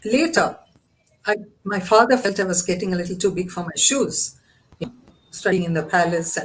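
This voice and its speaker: Somewhat breathy and at a medium pitch, a woman talks at a fairly quick pace broken by long, frequent pauses. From India, Mysore. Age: 70s. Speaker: women's organization founder. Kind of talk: interview conversation.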